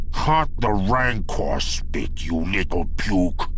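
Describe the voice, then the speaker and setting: A man performs in a put-on character voice at a very slow pace. Background noise is clearly heard. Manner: angry, insulting.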